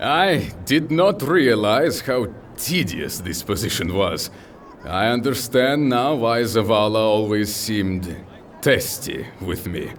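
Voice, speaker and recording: Booming in a put-on character voice, a man speaks at a medium pitch and fairly slow pace against clear background noise. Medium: audio drama. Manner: hearty, formal, slightly broken English.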